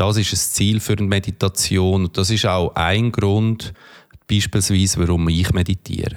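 A man speaks at a moderate pace in a fairly low pitch, his intonation monotone and flat and his loudness very even, on a very clean recording with a silent background. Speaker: podcast host and meditation coach. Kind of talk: guided meditation.

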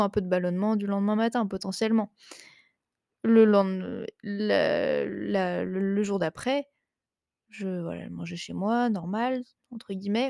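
A woman speaks fairly slowly in a dark, mellow tone with ordinary pitch variation, recorded dry and close with no echo. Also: very clean recording, silent background. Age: 20s. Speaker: online nutrition and fitness coach, podcast host. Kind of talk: casual solo chat. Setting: at home on the couch. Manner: hesitant, many fillers.

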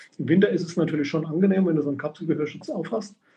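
A man with a high voice talks very fast, his intonation fairly even. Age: 50s. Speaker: sport shooter and shooting coach. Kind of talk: casual chat. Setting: livestream.

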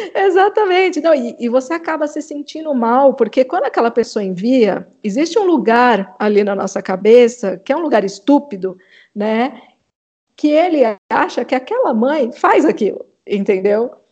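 Against a quiet background, a woman speaks at a moderate pace with a high pitch and very wide pitch swings. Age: 40s. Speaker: psychotherapist and mother. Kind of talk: casual interview.

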